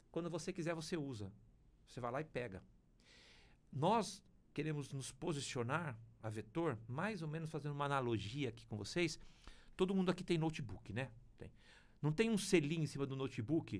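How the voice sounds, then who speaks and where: The voice has lively intonation and audible vocal fry. It moves at a moderate pace, broken by long, frequent pauses. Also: man, fairly high pitch for a man. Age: 50s. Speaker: publishing company executive. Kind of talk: interview conversation. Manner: hesitant, repeats words.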